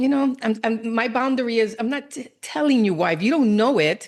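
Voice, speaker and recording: This woman has a normal speaking voice, fairly high in pitch. She talks at a moderate pace with lively intonation. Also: quiet background. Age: 60s. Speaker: cancer coach and speaker. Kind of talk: interview.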